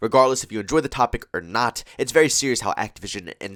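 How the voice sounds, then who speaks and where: On a very clean recording with a silent background and a dry, close sound with no echo, a man of medium pitch speaks fairly quickly with a bright, sharp tone and lively intonation. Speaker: gaming commentator. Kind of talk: gameplay commentary. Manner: casual, conversational.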